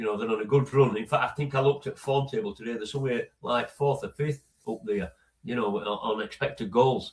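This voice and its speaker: With a Yorkshire accent, a man speaks at a fairly quick pace and medium pitch, his somewhat breathy voice marked by lively intonation. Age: 60s. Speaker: football fan, host's father. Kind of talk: casual chat. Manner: halting, repeats words.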